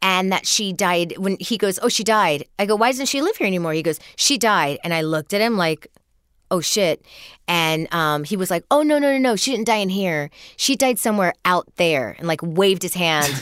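A woman's ordinary speaking voice at a medium pitch, lively intonation and moderate pace, on a very clean recording with a silent background. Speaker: comedian. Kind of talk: casual chat.

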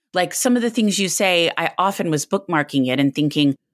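Very wide pitch swings mark this fairly quick delivery, recorded very cleanly against a silent background with a dry, close sound and no echo. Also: woman. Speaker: podcast host and book columnist. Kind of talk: interview.

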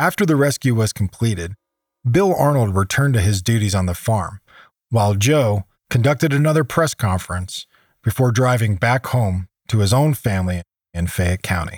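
A man with an American accent talks at a moderate pace in a medium-pitched, somewhat breathy voice with very even loudness. The recording is very clean and dry, close-sounding with no echo, over a silent background. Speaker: podcast host and narrator, survival expert. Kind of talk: scripted narration.

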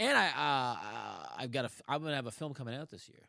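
A man's bright, sharp tone with a Buffalo accent, in a very clean recording over a silent background. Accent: Western New York (Buffalo). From Buffalo, New York. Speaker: comedian and actor. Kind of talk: casual chat.

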